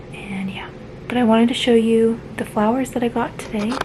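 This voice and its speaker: A woman speaks quietly in a fairly high, flat, monotone voice over noticeable background noise. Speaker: vlogger. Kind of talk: casual vlog update.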